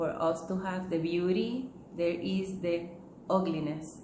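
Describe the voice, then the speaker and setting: A strong Puerto Rican accent comes through. The room echoes audibly, and background noise is noticeable. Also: woman. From Puerto Rico. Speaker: holistic living teacher. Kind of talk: talk to camera. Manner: hesitant, many fillers.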